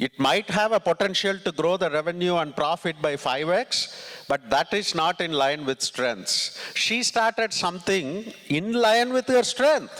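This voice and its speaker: A man with a Tamil accent talks at a fairly slow pace in a high voice, with a dry, close sound, no echo, and noticeable background noise. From southern India (Tamil Nadu, Ramanathapuram). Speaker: tech executive and conference speaker. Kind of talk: motivational talk. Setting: stage with audience.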